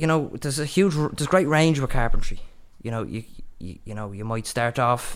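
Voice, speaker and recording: A man with a Dublin accent. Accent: Dublin Irish. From Ireland, Dublin. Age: young. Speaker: apprentice carpenter. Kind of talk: interview.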